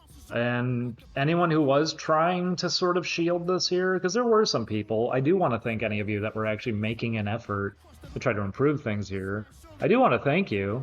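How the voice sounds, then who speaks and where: A man with a medium pitch and very wide pitch swings, at a moderate pace, over music in the background. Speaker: streamer. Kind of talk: livestream talk to chat.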